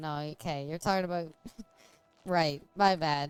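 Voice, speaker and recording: Quietly, a woman mumbles while music plays in the background. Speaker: video game streamer. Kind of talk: casual gameplay commentary. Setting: live stream. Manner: mumbling; quiet, low volume.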